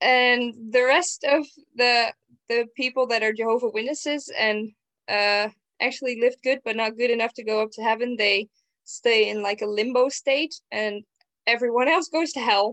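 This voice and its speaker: In a Dutch accent, a woman speaks at a high pitch with ordinary pitch variation, the sound dry and close with no echo. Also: moderate pace. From Netherlands. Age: young. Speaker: psychomotor therapy student. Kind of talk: casual chat.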